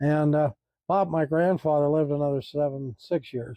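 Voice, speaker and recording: With an American accent, a man speaks fairly quickly at a fairly high pitch. His intonation stays flat and monotone. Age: 70s. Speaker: historical document collector. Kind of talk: casual interview conversation.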